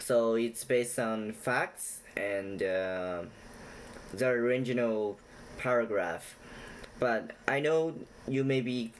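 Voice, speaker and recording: A man talks at a very slow pace with long, frequent pauses. His pitch sits in the medium range. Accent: non-native. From China. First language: not English. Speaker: YouTuber explaining Chinese culture. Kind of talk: casual direct-to-camera talk; storytelling retelling. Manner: halting with many fillers.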